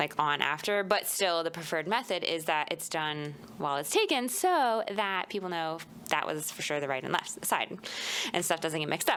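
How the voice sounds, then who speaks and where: A woman with a fairly low pitch and an American accent, at a moderate pace with ordinary pitch variation, in an unremarkable speaking voice. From Florida. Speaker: podcast co-host. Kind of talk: casual chat.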